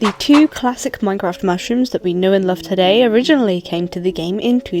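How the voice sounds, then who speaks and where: A woman's medium-pitched voice at a fairly quick pace, with noticeable background noise. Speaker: artist. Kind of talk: art commentary narration.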